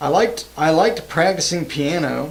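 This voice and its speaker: Amid noticeable background noise and audible room echo, a man speaks at a moderate pace with a slight Southern US accent. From US South, Georgia. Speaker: microtonal musician streamer. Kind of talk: casual livestream chat. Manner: casual, halting.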